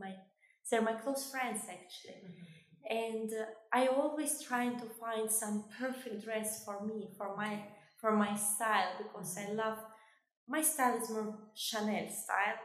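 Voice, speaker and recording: A woman with a fairly high, somewhat breathy voice speaks at a moderate pace with fairly even intonation and big swings in loudness, and room echo is audible. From Kosovo. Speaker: fashion designer and beauty queen. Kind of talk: interview. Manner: halting.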